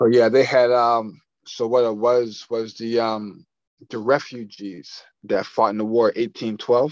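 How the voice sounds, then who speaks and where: A man with an unremarkable speaking voice talks at a fairly slow pace, his medium pitch carried on fairly even intonation. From Nova Scotia, Canada (Dartmouth). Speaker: entrepreneur, print shop owner. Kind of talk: casual interview.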